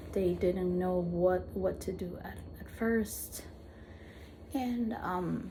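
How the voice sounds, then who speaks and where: A woman talks at a very slow pace with long, frequent pauses and big swings in loudness, in a room with audible echo. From Peru, Lima; later Argentina. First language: Spanish. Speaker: vlogger with visual impairment. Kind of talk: personal testimony. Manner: halting, frequent repetitions.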